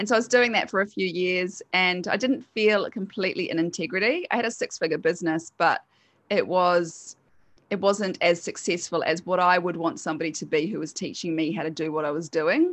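A woman with a New Zealand accent against a quiet background. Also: medium pitch for a woman, ordinary pitch variation. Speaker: hypnotherapist. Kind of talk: casual interview chat.

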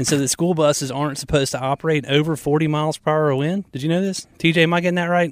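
Talking very fast with hardly any pauses, a man with a Southern US accent keeps his fairly high pitch in fairly even intonation. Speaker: radio host. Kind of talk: casual chat. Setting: studio.

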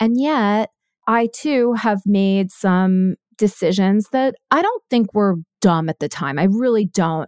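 A woman at a very slow pace, medium in pitch with lively intonation, the sound dry and close with no echo, on a very clean recording with a silent background. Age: 50s. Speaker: podcast host. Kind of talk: interview conversation.

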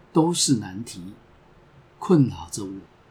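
A man speaks at a very slow pace in a medium pitch, somewhat breathy. His pitch swings very widely. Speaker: podcast host. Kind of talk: scripted narration.

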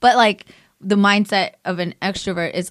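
A very clean recording of a woman's voice against a silent background. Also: dry, close sound with no echo. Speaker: podcast host. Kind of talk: casual chat. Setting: studio. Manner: loud; animated.

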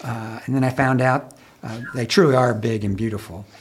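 In an unremarkable speaking voice with an American accent, a man talks at a fairly slow pace. His pitch is medium with ordinary variation. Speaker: co-host, college dean. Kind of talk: casual interview.

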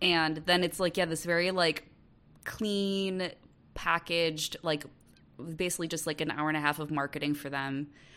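A woman with an American accent and an unremarkable speaking voice talks at a moderate pace with ordinary pitch variation, in a very clean recording with a silent background. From US Midwest, Wisconsin. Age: 30s. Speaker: writer. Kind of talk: casual chat.

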